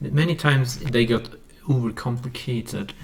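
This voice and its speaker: A man with a Swedish accent and ordinary pitch variation. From Sweden. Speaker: music producer YouTuber. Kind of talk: tutorial. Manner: halting. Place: home room.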